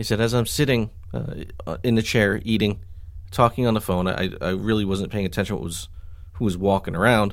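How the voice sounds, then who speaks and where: The recording is very clean with a silent background. A man with fairly low pitch speaks at a fairly quick pace in an unremarkable speaking voice. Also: ordinary pitch variation. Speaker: podcast host. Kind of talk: casual chat.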